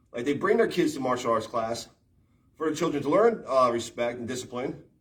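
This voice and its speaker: Here a man talks at a fairly quick pace with lively intonation and medium pitch. His tone is animated. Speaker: martial arts livestreamer. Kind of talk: livestream rant. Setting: live stream while working out. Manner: loud.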